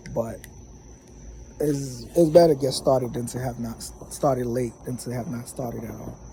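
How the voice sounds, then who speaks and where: A man with a plain, everyday voice, medium pitch, moderate pace, fairly even intonation and big swings in loudness. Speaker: vlogger. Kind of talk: casual vlog monologue. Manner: many filler words.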